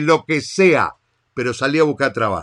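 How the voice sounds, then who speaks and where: A man pitched somewhat high talks at an even tempo, his pitch moving in a usual way, in a silent setting. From Argentina. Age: 40s. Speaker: podcast host, digital marketer. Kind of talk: monologue rant. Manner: animated.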